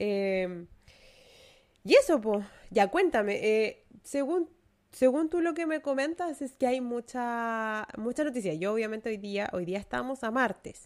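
Speaking fairly slowly in a Chilean accent, a woman uses lively intonation. The recording is very clean, with a silent background. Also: fairly high pitch for a woman. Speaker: podcast co-host. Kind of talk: casual chat.

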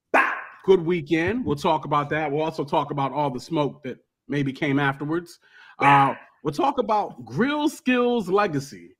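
This man's voice sits fairly high, with lively intonation. He keeps a moderate pace. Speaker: podcast host. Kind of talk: casual chat. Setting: studio. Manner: animated.

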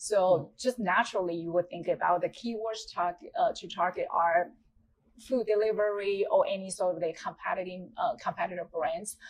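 A woman's medium-pitched voice with a Taiwanese accent, at a moderate pace with ordinary pitch variation. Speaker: tech sales executive. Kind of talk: interview.

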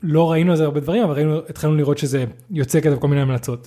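A man talks at a very fast pace in a fairly high pitch. His tone is dark and mellow, with fairly even intonation. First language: not Hebrew (speaking Hebrew). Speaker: podcast co-host. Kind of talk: casual chat.

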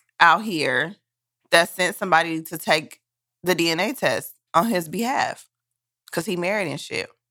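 A woman speaks at a fairly low pitch with a bright, sharp tone and ordinary pitch variation. Long, frequent pauses stand out in a very clean recording with a silent background. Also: moderate pace. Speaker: podcast co-host. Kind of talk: casual chat. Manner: stutters when flustered.

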